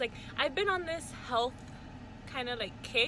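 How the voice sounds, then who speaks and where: The woman's voice has a bright, sharp tone. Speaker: vlogger. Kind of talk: casual vlog chat. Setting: in a car. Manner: casual, lots of fillers like um and like.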